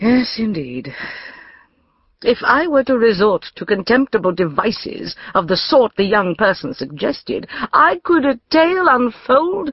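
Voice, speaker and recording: A woman's fairly high pitch with very wide swings, vocal fry and a fairly slow pace. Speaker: audiobook narrator. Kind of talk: audiobook narration, first-person scripted reading in the voice of a Victorian-era lady. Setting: studio.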